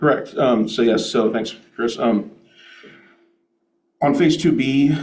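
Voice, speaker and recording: A man's dark, mellow voice carries audible room echo. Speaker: developer presenting to city council. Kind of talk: public meeting presentation. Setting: city council meeting. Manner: fast.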